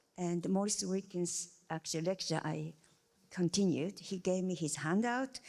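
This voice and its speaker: The speaker has a Japanese accent. The pace is moderate. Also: woman. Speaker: scientist, panel member. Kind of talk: panel discussion. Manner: halting.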